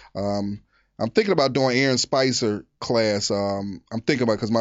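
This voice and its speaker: A man speaks at a moderate pace, his medium-pitched voice showing ordinary pitch variation. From Philadelphia (North Philly). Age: 40s. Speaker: stand-up comedian. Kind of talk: casual interview chat.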